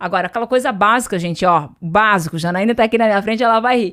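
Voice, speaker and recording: A woman talks at a very fast pace in a medium pitch. Her tone is animated. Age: 40s. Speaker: entrepreneur and business mentor. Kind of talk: podcast interview.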